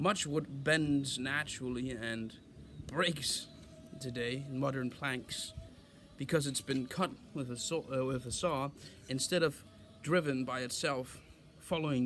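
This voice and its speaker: With music in the background, a man of medium pitch speaks at a fairly slow pace, with fairly even intonation and long, frequent pauses. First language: not English. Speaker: woodworking craftsman. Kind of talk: tutorial. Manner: halting.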